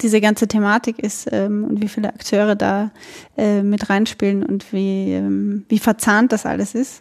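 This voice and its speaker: Speaking at a very slow pace, a woman has a fairly high pitch and a dark, mellow tone. Her intonation is fairly even, and the sound is dry and close with no echo. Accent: Austrian. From Austria, Burgenland. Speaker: podcast host. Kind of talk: casual interview.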